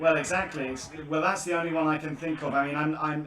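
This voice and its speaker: A man with a British accent speaks at a fairly high pitch. Room echo is audible, and there is noticeable background noise. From Britain. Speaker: scam-baiter YouTuber. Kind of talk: phone conversation with scammer. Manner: halting, stammering.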